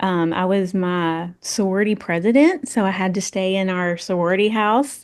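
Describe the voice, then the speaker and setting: A woman speaks in a Tennessee accent at a moderate pace, with hardly any pauses. Her medium pitch shows ordinary variation, and the background is quiet. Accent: Southern US (Tennessee). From West Tennessee (Paris). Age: 40s. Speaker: tourism executive. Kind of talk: podcast interview.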